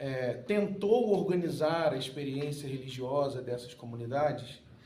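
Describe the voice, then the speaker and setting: A voice delivered at a fairly slow pace with ordinary pitch variation, set against noticeable background noise. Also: man, fairly high pitch for a man. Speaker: pastor and political adviser. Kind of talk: conference panel talk.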